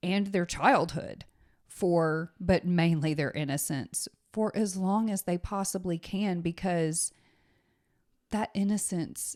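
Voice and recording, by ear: A woman speaks with fairly low pitch, ordinary pitch variation and a slightly mellow tone. The recording is very clean, with a silent background.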